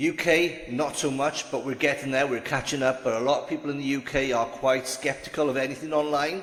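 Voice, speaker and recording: The speaker talks at a fairly quick pace with fairly even intonation. Noticeable background noise sits behind the voice. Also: man, fairly high pitch for a man. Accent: Welsh. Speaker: online business vlogger. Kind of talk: casual vlog monologue, partly from notes. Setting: standing, recording to camera. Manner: conversational, with frequent fillers and restarts.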